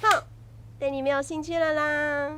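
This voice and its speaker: A cartoonish character voice with a high pitch comes through over clear background noise. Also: fairly slow pace. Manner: excitable.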